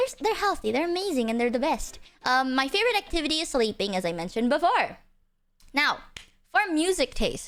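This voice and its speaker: With an Indonesian accent, a woman speaks at a high pitch and a fairly quick pace, her voice making very wide pitch swings. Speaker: vtuber streamer. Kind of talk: casual livestream self-introduction. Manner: animated.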